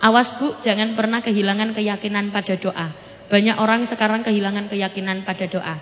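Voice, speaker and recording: A woman with a medium pitch speaks with fairly even intonation. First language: Javanese (speaking Indonesian). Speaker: Islamic preacher. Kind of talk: sermon. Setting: stage with audience.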